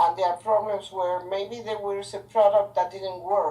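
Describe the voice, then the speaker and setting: Her voice is a medium-pitched woman's voice with a dark, mellow tone. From Argentina. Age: old. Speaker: chemist, business owner. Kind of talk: oral history interview answer.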